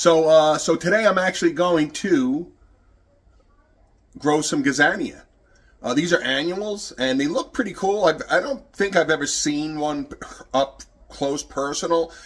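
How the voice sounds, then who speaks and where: A man speaks at a fairly slow pace with a fairly high pitch. His pitch varies in an ordinary way, broken by long, frequent pauses. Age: 60s. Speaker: gardening youtuber. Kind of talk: tutorial. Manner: halting; casual.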